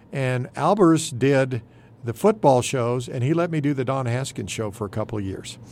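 In an American accent, a man with an unremarkable speaking voice talks at a moderate pace and medium pitch, with ordinary pitch variation. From Texas Panhandle. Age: 60s. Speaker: retiring TV general manager. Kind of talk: casual radio interview. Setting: studio.

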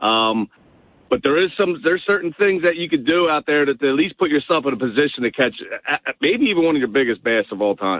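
Excited and very fast, a man speaks with very wide pitch swings while his loudness stays very even. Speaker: tournament bass angler. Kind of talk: radio interview.

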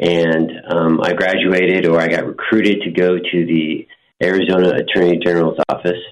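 Speaking at a moderate pace, a man with an American accent has a very deep, low pitch. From Montana, Marine Corps family. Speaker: prosecutor running for county attorney. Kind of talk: interview. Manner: halting, many fillers.

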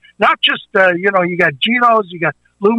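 In a raised, projected voice, a man with an American accent sounds enthusiastic, his tone bright and sharp, his pitch high, with ordinary pitch variation. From Chicago. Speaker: barbecue restaurateur and pitmaster. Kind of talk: promotional radio interview.

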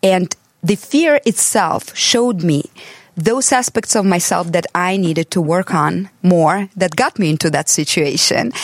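In a dry, close recording with no echo, a woman with an American accent and an unremarkable speaking voice talks fairly slowly at a fairly low pitch. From abroad, came to the US as an adult. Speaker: transformational coach and author. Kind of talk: casual chat.

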